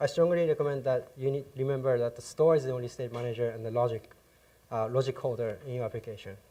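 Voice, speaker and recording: A man's very fast speech in a Japanese accent, medium in pitch, with a dark, mellow tone and fairly even intonation. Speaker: software developer, conference speaker. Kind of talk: technical conference talk. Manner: hesitant, many fillers.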